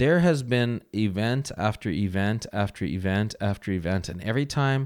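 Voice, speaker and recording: On a very clean recording with a silent background, a man speaks in an ordinary speaking voice at a moderate pace, with fairly low pitch and ordinary pitch variation. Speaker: host's partner, podcast guest. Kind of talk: casual chat. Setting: home recording beside host.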